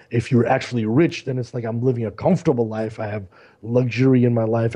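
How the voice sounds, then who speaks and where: With an American accent, a man speaks at a fairly quick pace in a medium-pitched, dark, mellow and somewhat breathy voice, his intonation fairly even. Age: 40s. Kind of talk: casual chat.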